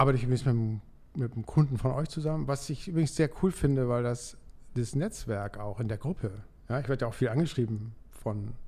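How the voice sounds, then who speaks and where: Somewhat breathy male voice of medium pitch, dark and mellow in tone, with ordinary pitch variation and a fairly quick pace. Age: 60s. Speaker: dental lab owner, coaching client. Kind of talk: casual interview. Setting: studio.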